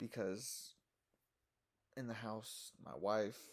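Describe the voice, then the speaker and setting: Vocal fry runs through this man's fairly low-pitched voice. He talks at a very slow pace. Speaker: self-recorded video submitter. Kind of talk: personal monologue to camera. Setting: shed.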